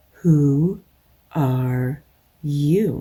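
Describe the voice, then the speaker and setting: Putting on a character voice, a woman speaks with a very deep, low pitch and ordinary pitch variation. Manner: languidly sleepy.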